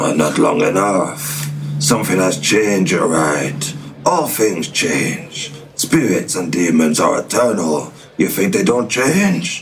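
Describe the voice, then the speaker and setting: A man does a put-on character voice, very deep and low in pitch, at a fairly slow pace. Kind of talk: grandiose mock-archaic pronouncement. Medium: audio drama. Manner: pompous, theatrical.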